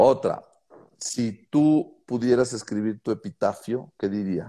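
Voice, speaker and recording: In a dark, mellow tone, a man speaks at a very slow pace with lively intonation, captured in a very clean recording with a silent background. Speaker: podcast host. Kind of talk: interview.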